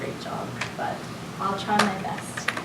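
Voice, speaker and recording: A woman speaks over noticeable background noise. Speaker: spoken word poet. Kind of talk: casual introduction to audience.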